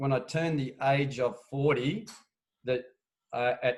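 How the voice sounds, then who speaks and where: Someone with an Australian accent speaks fairly slowly in a somewhat breathy voice. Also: man. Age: 60s. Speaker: veteran longboard surfer. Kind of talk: casual chat. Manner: halting, many fillers.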